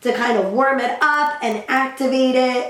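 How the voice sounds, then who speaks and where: A woman is speaking with audible room echo. Noticeable noise sits in the background. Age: young. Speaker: beauty vlogger. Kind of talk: tutorial.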